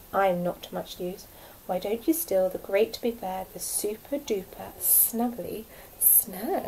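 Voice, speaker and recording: Clear background noise and hissing run under a woman's put-on character voice. She talks at a fairly slow pace with a medium pitch. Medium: read story.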